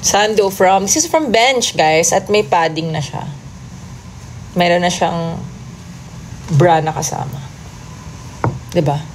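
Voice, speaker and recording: A woman's fairly low voice at a very slow pace, with ordinary pitch variation, long and frequent pauses, audible room echo and noticeable background noise. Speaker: P-pop group singer. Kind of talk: livestream chat reading comments. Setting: TikTok livestream. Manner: casual, chatty with code-switching.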